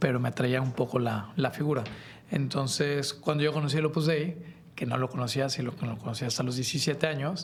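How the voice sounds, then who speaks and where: Over noticeable background noise, a man with a Mexican accent talks at a fairly quick pace in a fairly high pitch with ordinary pitch variation. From Mexico. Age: 30s. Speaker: podcast creator. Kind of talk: casual chat. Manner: conversational, informal.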